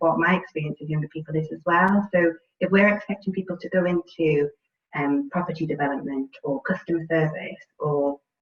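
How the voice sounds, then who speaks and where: With a British accent, a woman speaks at a fairly quick pace in a fairly low pitch. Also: ordinary pitch variation. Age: 30s. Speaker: housing sector professional. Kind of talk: panel discussion.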